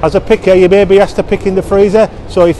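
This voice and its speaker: A man at a very fast pace over light background noise. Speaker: warehouse staff guide. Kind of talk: walkthrough tour presentation. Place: factory. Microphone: phone near.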